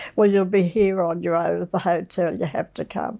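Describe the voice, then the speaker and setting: A woman speaks with an Australian accent. Her pace is moderate, with ordinary pitch variation. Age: 80s+. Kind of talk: interview answer. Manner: charming, humorous.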